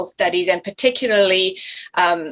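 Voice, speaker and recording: A woman's bright, sharp tone with ordinary pitch variation at a moderate pace. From South Africa, then Canada. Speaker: family physician and theologian. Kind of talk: panel discussion interview. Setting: video call.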